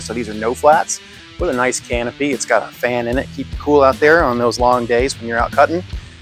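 A man talks fairly quickly as faint music sounds behind him. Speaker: presenter. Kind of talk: casual walkthrough tour. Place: street. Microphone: phone near.

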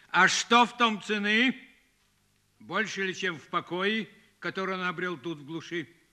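Over a quiet background, a man uses a raised, projected voice with a bright, sharp tone, speaking at a fairly slow pace with ordinary pitch variation and big swings in loudness. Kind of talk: dramatic film dialogue. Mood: wry, philosophical, world-weary.

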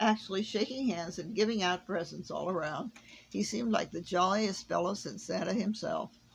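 A natural voice reading aloud, its pitch varying in an ordinary way.

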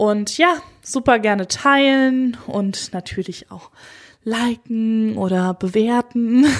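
The loudness swings widely throughout. The pace is very slow. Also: woman, very clean recording, silent background. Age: 30s. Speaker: doula and birth psychologist, podcast host. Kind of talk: solo podcast monologue. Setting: standing while recording. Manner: casual, conversational.

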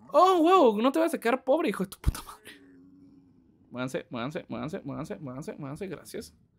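A man with a Mexican accent speaks at a fairly quick pace. His pitch is high. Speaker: gaming streamer. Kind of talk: live gameplay stream chat. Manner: animated.

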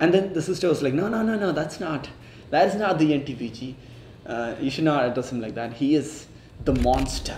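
A man at a moderate pace, with light background noise and audible room echo. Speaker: medical intern vlogger. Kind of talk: casual vlog chat. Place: home room.

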